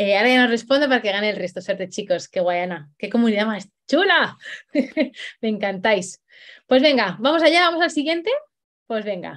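Against a quiet background, a woman speaks in an animated tone. She keeps a moderate pace and uses very wide pitch swings. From Spain. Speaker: dog trainer; dog trainer hosting a workshop. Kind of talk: live online workshop; live online workshop talk. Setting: livestream. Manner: hesitant, many fillers. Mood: cheerful, enthusiastic. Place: home room. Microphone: video call.

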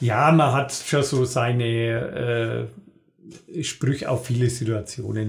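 A man with a Franconian accent and monotone, flat intonation. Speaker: dialect cabaret artist. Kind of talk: interview answer. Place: studio.

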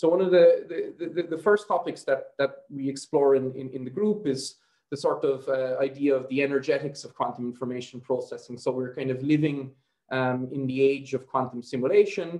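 A dark, mellow tone at a moderate pace, with ordinary pitch variation and a quiet background. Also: man. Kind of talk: lecture. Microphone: video call.

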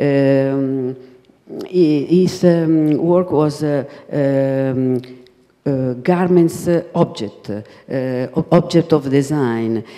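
Someone with an Italian accent speaks at a very slow pace with long, frequent pauses over a quiet background. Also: woman, very deep, low pitch for a woman, ordinary pitch variation. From Italy. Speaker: designer's widow and collaborator; guest. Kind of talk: panel discussion. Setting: stage with audience. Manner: halting. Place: hall. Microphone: handheld.

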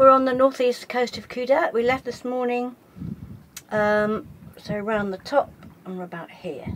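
A woman's fairly high voice with fairly even intonation. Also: moderate pace.

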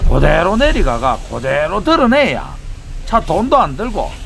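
Noticeable background noise is audible. Over it, a man speaks at a moderate pace. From Daegu, Gyeongsang region. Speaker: tow truck driver. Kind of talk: casual narration of work video. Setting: outdoors.

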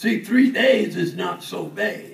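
The room echo is audible as the man talks. There is some light noise behind him. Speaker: preacher. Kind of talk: sermon. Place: church.

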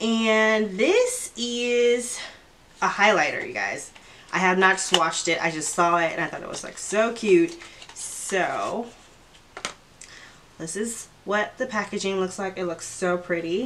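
Over light background noise, a woman talks at a fairly slow pace with ordinary pitch variation and long, frequent pauses. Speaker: beauty vlogger. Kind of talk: casual vlog chat. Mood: cheerful, excited. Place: home room.

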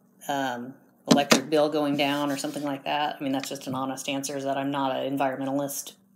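A woman with an American accent speaks at a very fast pace in a very deep, low pitch. Her intonation is monotone and flat, and there is noticeable background noise. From US Midwest, Indiana. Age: 50s. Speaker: homeowner interviewed for a research study. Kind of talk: research interview.

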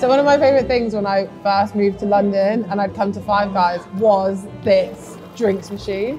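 Over music in the background, a woman speaks at a moderate pace with ordinary pitch variation and hardly any pauses. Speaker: guest host. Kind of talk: casual vlog chat. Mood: playful, laughing. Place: cafe. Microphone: lapel.

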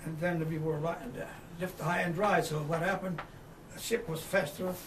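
With noticeable background noise behind him, a man speaks at a moderate pace in a high voice with fairly even intonation. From Italy. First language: Italian. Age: 80s+. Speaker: war veteran. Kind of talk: oral history interview. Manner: halting.

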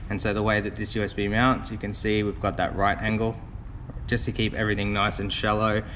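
Noticeable background noise surrounds this man. His voice is fairly low and his pace fairly quick. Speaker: car audio installer reviewer. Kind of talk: product review walkthrough.

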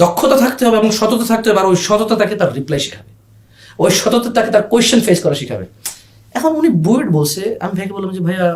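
Loud and animated, a man speaks at a high pitch with lively intonation over noticeable background noise. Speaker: online food seller. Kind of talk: podcast interview storytelling.

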